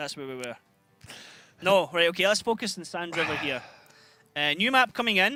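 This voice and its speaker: A man's high-pitched voice at a fairly quick pace, with very wide pitch swings, big swings in loudness, long, frequent pauses and music in the background. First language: not English. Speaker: esports caster. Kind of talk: live commentary. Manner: halting.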